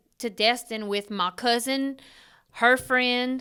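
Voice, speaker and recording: Bright, sharp tone in a flat monotone at a very slow pace, on a very clean recording with a silent background. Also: woman. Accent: Cajun. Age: 30s. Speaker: podcast co-host. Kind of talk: casual chat.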